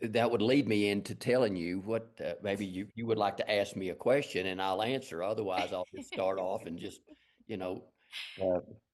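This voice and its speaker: A man with a strong Texas accent talks at a fairly low pitch, his intonation fairly even. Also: moderate pace. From West Texas, Lubbock. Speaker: fine artist. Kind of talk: interview.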